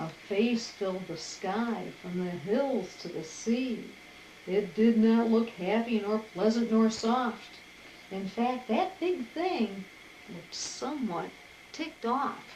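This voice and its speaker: Woman's fairly high voice at a very slow pace, with big swings in loudness over noticeable background noise. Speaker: grandmother reading aloud. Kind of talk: children's picture-book read-aloud.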